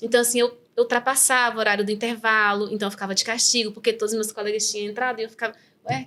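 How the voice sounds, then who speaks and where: A woman rattles along at a very fast pace with a fairly high pitch. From Brazil, raised in the rural Northeast. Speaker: neuropsychopedagogue. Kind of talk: interview testimony. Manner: halting, with many fillers.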